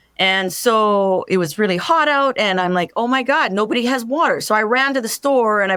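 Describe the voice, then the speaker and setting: This woman's voice is fairly high, with an animated, bright, sharp tone and ordinary pitch variation. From Canada, French-Canadian family. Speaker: truck driver and motivational speaker. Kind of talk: interview.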